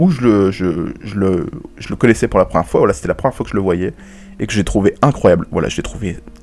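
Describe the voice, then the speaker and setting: Noticeable background noise accompanies a man speaking fairly quickly with a fairly low pitch. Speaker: wrestling podcast host. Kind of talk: solo podcast commentary. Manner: stammering, halting.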